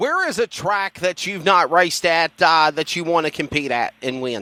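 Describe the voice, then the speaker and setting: Speaking in a Southern US accent, a man with a high-pitched, bright and sharp voice uses lively intonation, and the sound is dry and close with no echo. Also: moderate pace. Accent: Southern twang. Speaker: motorsports announcer. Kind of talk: interview.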